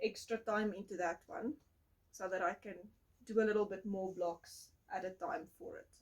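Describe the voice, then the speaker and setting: A woman is talking. Her pace is moderate. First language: not English. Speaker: podcast host, crafter. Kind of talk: casual chat.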